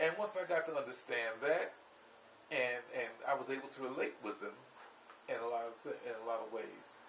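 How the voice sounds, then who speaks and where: Long, frequent pauses break up the speech of someone with an American accent, with noticeable background noise behind. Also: man. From US Northeast (Camden, New Jersey). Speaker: pub owner and vlogger. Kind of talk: casual vlog monologue. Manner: halting, many fillers and restarts.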